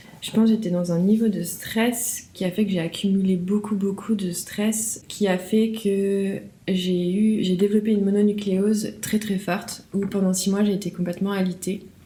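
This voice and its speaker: At a moderate pace and with hardly any pauses, a woman with a somewhat breathy, dark, mellow tone speaks at a medium pitch with monotone, flat intonation. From France. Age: 30s. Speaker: interview guest sharing testimony. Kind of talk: testimony. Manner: hesitant, repeats words.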